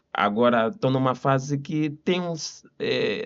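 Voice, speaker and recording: A man with an Angolan accent, medium pitch and ordinary pitch variation. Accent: Angolan Portuguese accent, still noticeable. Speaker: lawyer. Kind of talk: podcast interview.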